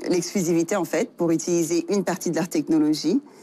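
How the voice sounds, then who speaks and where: Dark, mellow tone in a woman's fairly low pitch. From Senegal. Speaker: tech entrepreneur. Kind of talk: interview. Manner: halting, many fillers.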